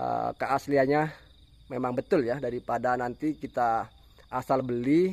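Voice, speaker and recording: The sound is dry and close with no echo. A man speaks at a medium pitch with fairly even intonation. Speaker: oil palm farming YouTuber. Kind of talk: tutorial. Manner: fast.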